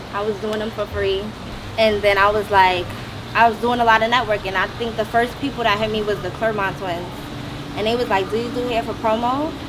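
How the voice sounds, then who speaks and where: Fairly quick, fairly even speech over noticeable background noise. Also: woman, fairly high pitch for a woman. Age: 20s. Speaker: hairstylist. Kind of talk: self-introduction in group panel. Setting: mansion, group filming.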